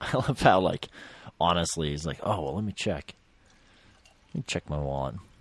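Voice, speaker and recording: A man speaks at a moderate pace with a very deep, low pitch, vocal fry and lively intonation. Long pauses come often, and the sound is dry and close with no echo. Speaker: filmmaker, co-commentator.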